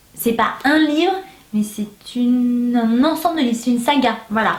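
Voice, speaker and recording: Fairly slow delivery with lively intonation. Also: woman. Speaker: booktuber. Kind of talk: casual vlog review. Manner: animated.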